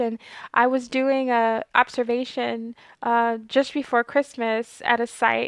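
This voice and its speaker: The woman is soft-spoken, with a fairly high pitch and monotone, flat intonation. The background is quiet. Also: dry, close sound with no echo. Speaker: clinical research trainer and video host. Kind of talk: informational talk to camera.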